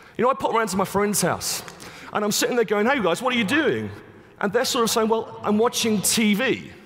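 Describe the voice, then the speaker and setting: Speaking at a fairly quick pace with an English accent, a man uses a high pitch, ordinary pitch variation and very even loudness over noticeable background noise. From England. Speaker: conference speaker, digital media expert. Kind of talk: conference keynote talk.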